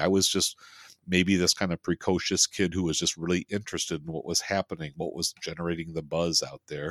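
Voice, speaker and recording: A man with a very deep, low pitch talks at a fairly quick pace. The sound is dry and close with no echo, a very clean recording with a silent background. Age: 60s. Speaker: film podcast host. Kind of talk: casual chat. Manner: halting.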